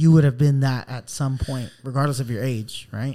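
This man talks at a fairly quick pace in a dark, mellow tone. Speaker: podcast co-host. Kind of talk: casual chat.

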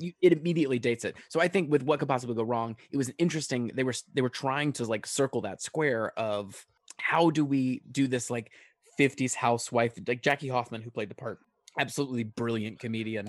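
A man with an American accent at a medium pitch, ordinary pitch variation, a fairly quick pace, and a dry, close sound with no echo. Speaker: singer-songwriter and stage actor. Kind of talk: casual chat. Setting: remote call. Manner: animated.

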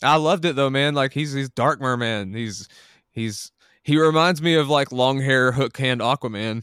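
This man has an ordinary speaking voice, at medium pitch with ordinary pitch variation. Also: moderate pace. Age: 30s. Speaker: podcast co-host. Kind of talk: casual chat.

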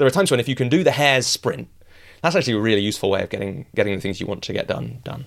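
With a Yorkshire accent, a man with a medium-pitched voice and ordinary pitch variation speaks very fast on a very clean recording with a silent background. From northern England, rural Yorkshire. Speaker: author and coach. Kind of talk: interview conversation. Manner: animated.

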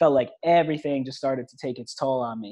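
A man with a plain, everyday voice and an American accent speaks at a fairly quick pace. His pitch is medium and his intonation fairly even. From New York. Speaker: entrepreneur. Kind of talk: interview.

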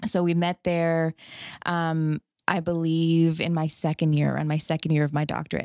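In a very clean recording with a silent background, a woman speaks at a moderate pace in a fairly low pitch. The sound is dry and close with no echo, and her intonation is monotone and flat. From Canada. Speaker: chiropractor. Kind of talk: casual chat.

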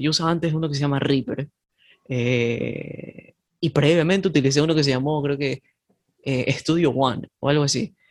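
Here a man speaks at a moderate pace with fairly even intonation. His is an unremarkable speaking voice with a fairly high pitch. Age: 20s. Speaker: indie musician. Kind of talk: casual chat.

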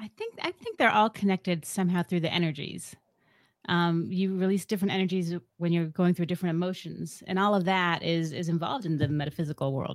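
In a very clean recording with a silent background, a woman speaks at a very fast pace with a fairly low pitch and ordinary pitch variation. The sound is dry and close, with no echo. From US, partly raised in Ecuador. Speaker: podcast co-host, guest. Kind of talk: casual interview.

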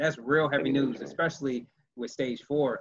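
A man speaks with an unremarkable speaking voice. His pitch is fairly high, with ordinary variation. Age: 30s. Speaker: podcast host and cancer survivor. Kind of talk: casual interview.

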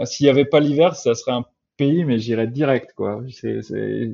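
A man talks at a fairly slow pace with a fairly high pitch and ordinary pitch variation. He has a plain, everyday voice. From France, childhood abroad in Latin America. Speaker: software engineer. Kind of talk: interview.

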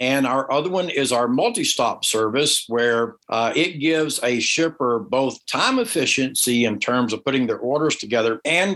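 This man speaks at a moderate pace with a fairly high pitch. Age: 60s. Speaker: entrepreneur and startup advisor. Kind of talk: interview answers, business talk. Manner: halting, many fillers.

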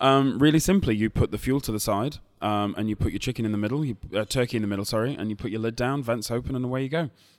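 With hardly any pauses, a man talks at a very fast pace. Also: medium pitch for a man, ordinary pitch variation. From Lancashire, northern England. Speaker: barbecue cook and food expert. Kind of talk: interview. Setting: hotel lobby cafe, recorded live at a food show.

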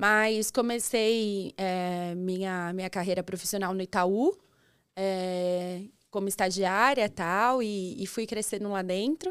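In a very clean recording with a silent background, a woman of medium pitch speaks at a very slow pace with fairly even intonation. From interior of São Paulo state, Brazil (São Roque). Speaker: banking open finance coordinator. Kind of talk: casual interview chat.

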